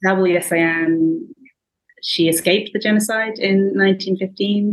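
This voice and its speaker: Here is a woman with an English accent at a medium pitch. Her intonation stays fairly even. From England. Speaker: writer and researcher. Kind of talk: casual book discussion.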